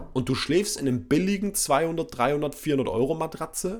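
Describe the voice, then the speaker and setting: A man speaks in an animated tone with lively intonation. His voice carries vocal fry. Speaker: sleep coach and podcast host. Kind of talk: casual solo podcast monologue.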